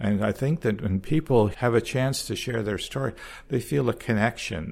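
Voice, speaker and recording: In a very clean recording with a silent background, a man of medium pitch talks at a moderate pace with vocal fry. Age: 70s. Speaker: former priest, retirement home resident. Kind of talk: interview. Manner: halting.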